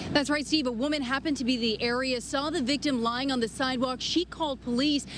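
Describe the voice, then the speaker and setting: A woman with a high pitch at a very fast pace, amid noticeable background noise. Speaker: TV news reporter and anchor. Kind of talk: live TV news report. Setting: outdoors, on location at a news scene.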